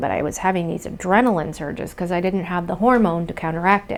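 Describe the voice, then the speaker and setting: A woman's fairly low voice at a fairly quick pace with fairly even intonation. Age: 40s. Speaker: business owner sharing her abuse story. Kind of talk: interview testimony. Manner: hesitant, many filler ums.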